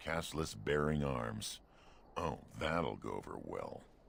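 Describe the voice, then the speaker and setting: Clear background noise behind a put-on character voice moving at a fairly slow pace. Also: man, very deep, low pitch for a man. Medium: video game.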